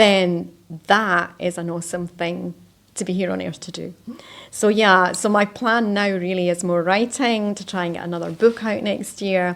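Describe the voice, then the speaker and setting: Delivered at a moderate pace, a plain, everyday voice keeps fairly even intonation. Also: woman, medium pitch for a woman. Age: 60s. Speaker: life coach. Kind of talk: interview.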